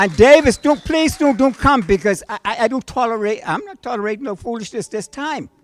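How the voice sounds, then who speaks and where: Lively in intonation and with big swings in loudness, a man talks fairly quickly at an extremely high pitch. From Bahamas. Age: 60s. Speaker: audience member at town hall. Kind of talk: impassioned speech. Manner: animated; halting with repetitions.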